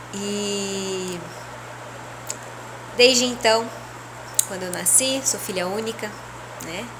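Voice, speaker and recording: Amid noticeable background noise and audible room echo, a woman speaks very slowly at a medium pitch with ordinary pitch variation, big swings in loudness, and long, frequent pauses. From Brazil, interior of São Paulo state. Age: 30s. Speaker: spiritual leader. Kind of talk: personal testimony. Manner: casual, conversational.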